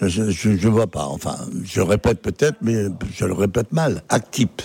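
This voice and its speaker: In a dry, close sound with no echo but noticeable background noise, a man with a fairly low pitch speaks at a very slow pace with long, frequent pauses. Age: old. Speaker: interviewee in street poll. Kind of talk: vox pop interview.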